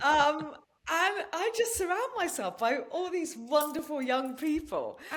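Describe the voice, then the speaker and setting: A woman with an English accent, extremely high pitch, very wide pitch swings and a fairly slow pace. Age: 60s. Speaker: podcast host and natural-healing advocate. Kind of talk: interview chat.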